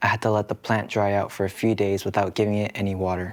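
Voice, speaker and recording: Soft-spoken and gentle in tone, a man with a fairly low pitch talks at a moderate pace with monotone, flat intonation. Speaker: K-pop idol. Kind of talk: sleep story. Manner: soft, gentle.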